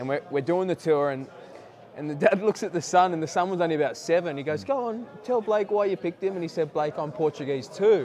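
The speaker talks at a very fast pace with an Australian accent and lively intonation. Noticeable background noise sits underneath. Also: man, high pitch for a man. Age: 20s. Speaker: rugby league player. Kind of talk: interview. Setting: playoffs media day at a stadium.

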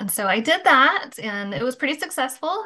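A woman with an American accent speaks at a moderate pace in a fairly high, bright, sharp voice. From Michigan. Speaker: recovery coach. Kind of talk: casual interview.

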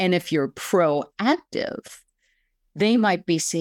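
A woman with an American accent and a normal speaking voice talks at a fairly slow pace in a medium pitch with ordinary pitch variation, recorded very cleanly with a silent background and a dry, close sound without echo. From Pennsylvania, Lancaster County. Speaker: real estate agency owner. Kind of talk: podcast interview.

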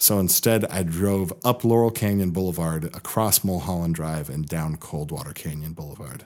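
An American accent at a moderate pace, with ordinary pitch variation and hardly any pauses, in a very clean recording with a silent background. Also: man, very deep, low pitch for a man. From US Pacific Northwest (Seattle, Bellingham). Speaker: improv teacher and performer. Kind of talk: casual chat.

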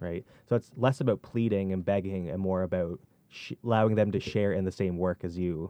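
This man's voice is very deep and low. He moves at a fairly quick pace, keeping his intonation fairly even. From Nova Scotia, Canada. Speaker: student intern at Bible camp. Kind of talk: casual discussion. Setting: studio.

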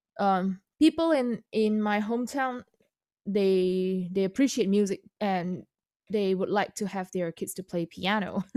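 Speaking with an Indonesian accent, a woman at medium pitch talks at a fairly slow pace in a dark, mellow tone with ordinary pitch variation. The sound is dry and close with no echo, over a quiet background. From Indonesia (North Sumatra). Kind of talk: interview. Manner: halting.

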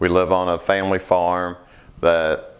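A man with a very deep, low voice speaks in a monotone, flat way at a fairly slow pace. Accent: Kentucky. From Kentucky, Hardin County area. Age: 40s. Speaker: farmer and co-op board director. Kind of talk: interview.

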